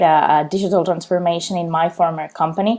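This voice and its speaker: A woman with a Spanish accent speaks in a fairly low pitch with a dark, mellow tone and fairly even intonation. The recording is very clean with a silent background. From Spain, Barcelona. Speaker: client success manager, civil engineer. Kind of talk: career interview testimony. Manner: frequent fillers and hesitations.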